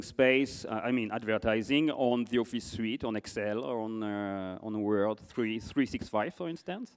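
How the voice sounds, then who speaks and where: A man talks at a fairly slow pace with hardly any pauses. His loudness swings widely against a quiet background. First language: French. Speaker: conference moderator; interviewer, event host. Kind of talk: on-stage interview. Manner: halting. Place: stage. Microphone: handheld.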